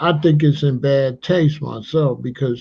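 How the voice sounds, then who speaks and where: Somewhat breathy and fairly high-pitched, a man talks at a fairly slow pace with ordinary pitch variation. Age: 60s. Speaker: history channel host. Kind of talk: livestream commentary. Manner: animated.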